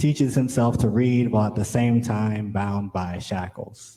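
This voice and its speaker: At a fairly slow pace, a man talks in a dark, mellow, somewhat breathy tone. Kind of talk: spoken word poetry performance. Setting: live event.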